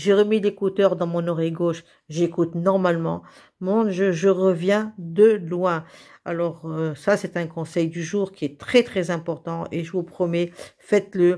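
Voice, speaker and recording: Fairly low pitch from a woman, dark and mellow in tone, with fairly even intonation at a fairly slow pace, on a very clean recording with a silent background. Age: 70s. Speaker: vlogger. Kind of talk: vlog monologue. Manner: halting, many hesitations and repetitions.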